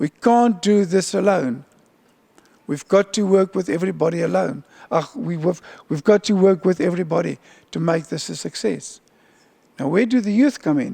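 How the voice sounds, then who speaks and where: Pitched high with ordinary pitch variation, a man speaks with a South African accent at a moderate pace, taking long, frequent pauses. The sound is dry and close with no echo, over a quiet background. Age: old. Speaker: UN agency official. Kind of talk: keynote speech.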